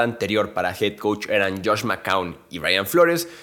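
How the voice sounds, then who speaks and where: Speaking at a fairly slow pace, a man uses lively intonation in a bright, sharp tone. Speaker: NFL podcast host. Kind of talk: solo sports analysis podcast.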